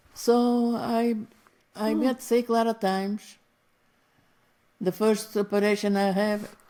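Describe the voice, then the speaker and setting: A woman with a Portuguese accent speaks at a fairly slow pace, her fairly high voice dark and mellow in tone. Her intonation is monotone and flat, broken by long, frequent pauses. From Portugal. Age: 80s+. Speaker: retired factory seamstress. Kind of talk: interview answer.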